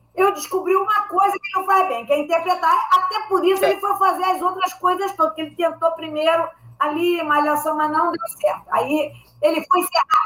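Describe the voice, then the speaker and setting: A woman speaks in a raised, projected voice at an extremely high pitch. Her tone is bright and sharp, with ordinary pitch variation and a moderate pace. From Rio de Janeiro, Brazil. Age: old. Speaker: comedy writer. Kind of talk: casual chat.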